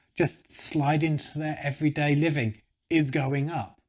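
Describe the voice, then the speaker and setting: A man with a British accent speaks in an enthusiastic tone at a fairly slow pace on a very clean recording with a silent background. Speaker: vegan YouTuber, documentary reviewer. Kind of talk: casual video review monologue.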